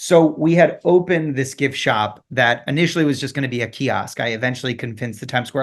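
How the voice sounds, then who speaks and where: At a very fast pace, the speaker uses an American accent and ordinary pitch variation against a quiet background. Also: man. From Michigan, Detroit area. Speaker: Broadway actor and tour guide business owner. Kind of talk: casual interview. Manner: animated.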